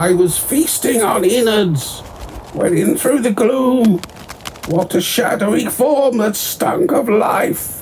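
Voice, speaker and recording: Someone uses a put-on character voice with a fairly high pitch. The delivery is fairly slow, over clear background noise. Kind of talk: sinister rhyming verse. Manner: sly, menacing.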